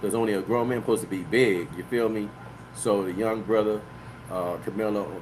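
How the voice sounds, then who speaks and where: A man with an American accent and a fairly low voice speaks fairly quickly with fairly even intonation in a room with audible echo. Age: 60s. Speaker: livestream host and author. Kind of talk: casual live-stream monologue. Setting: live online broadcast. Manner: loose, filler-heavy talk (you know what I mean).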